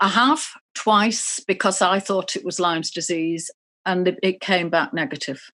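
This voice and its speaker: The tone is bright and sharp, with a British accent and ordinary pitch variation at a moderate pace. The background is quiet. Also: woman, medium pitch for a woman. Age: 60s. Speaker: patient with chronic fatigue. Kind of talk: therapy session conversation. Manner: halting.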